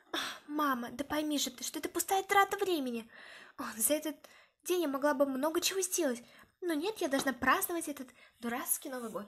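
A woman's high-pitched voice with lively intonation at a fairly quick pace, over a quiet background. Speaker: toy storyteller voicing characters. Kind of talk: voiced toy role-play story. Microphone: phone near.

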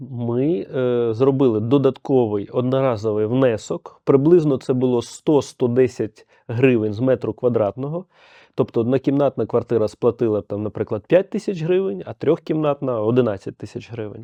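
A man's unremarkable speaking voice, medium-pitched, moderate in pace, with ordinary pitch variation. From Ukraine, Kyiv. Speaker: head of a homeowners' association. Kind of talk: podcast interview. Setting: studio.

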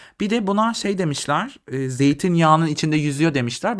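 A man speaks in an animated, playful tone. His intonation is lively. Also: very clean recording, silent background. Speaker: video creator / vlogger. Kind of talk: casual comedic monologue to camera, food tasting. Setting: home, video recording late at night. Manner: animated, sarcastic, playful.

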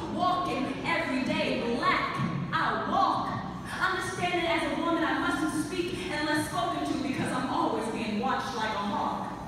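A woman speaks very slowly in a high voice with ordinary pitch variation, amid strong room echo and noticeable background noise. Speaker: spoken word poet. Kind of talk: spoken word poetry performance. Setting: live stage. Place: hall. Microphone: pa.

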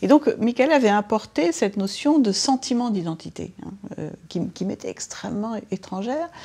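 At a fairly slow pace, a woman with a fairly high pitch speaks with lively intonation and a dark, mellow tone. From France. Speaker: sociologist; interviewee. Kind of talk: interview. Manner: halting. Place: home room. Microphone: lapel.

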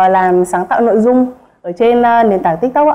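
The speaker has an unremarkable speaking voice with ordinary pitch variation. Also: woman. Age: 20s. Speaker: stay-at-home mother and content creator. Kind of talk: casual chat. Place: studio.

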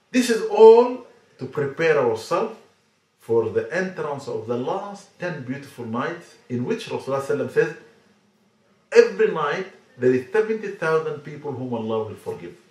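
Amid audible room echo, a man with a fairly high pitch speaks with very wide pitch swings. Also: moderate pace, big swings in loudness. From Sudan. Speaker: Islamic scholar. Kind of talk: religious talk to camera. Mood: earnest, calm exhortation. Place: home room.

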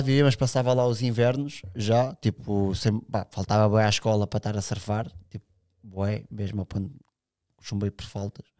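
At a moderate pace, a man with an unremarkable speaking voice and fairly even intonation talks against a quiet background. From Sintra, Portugal; Portugal. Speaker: big wave surfer; podcast guest. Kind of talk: casual chat. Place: studio. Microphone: studio mic.

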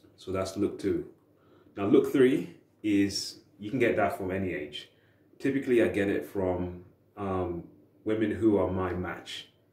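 Amid audible room echo, a man with a fairly low pitch and a dark, mellow, somewhat breathy tone speaks at a fairly slow pace, with ordinary pitch variation and long, frequent pauses. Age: 30s. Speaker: dating advice youtuber. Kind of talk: casual monologue to camera. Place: home room. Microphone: camera far.

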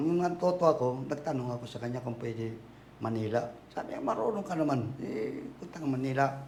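Over noticeable background noise and audible room echo, a man with a fairly high voice speaks at a moderate pace. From Tacloban, Leyte, Philippines. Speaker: convert to Islam telling life story. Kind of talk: life story interview.

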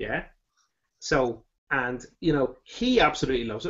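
The background is quiet. A man speaks with an Irish accent. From Ireland. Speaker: beer reviewer. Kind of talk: casual chat. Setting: video call. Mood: relaxed, jokey. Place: home room. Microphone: webcam.

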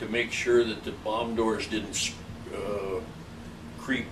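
A man talks very slowly at a fairly low pitch. There is noticeable background noise. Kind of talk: interview answer. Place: home room.

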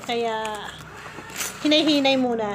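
This woman's high-pitched voice keeps a fairly even intonation as noticeable background noise goes on around her. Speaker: vlogger. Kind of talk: casual vlog.

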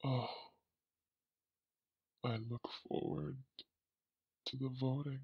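In a put-on character voice with a sinister tone and a low-to-middle pitch, the speaker moves at a fairly slow pace with long, frequent pauses. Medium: audio drama. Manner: sinister, gloating.

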